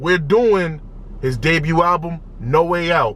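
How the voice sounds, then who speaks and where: A loud, shouting man with a high pitch and an animated tone, noticeable background noise around him. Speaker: music reaction youtuber. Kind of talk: casual reaction video commentary. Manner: loud, yelling; animated, repetitive stammering.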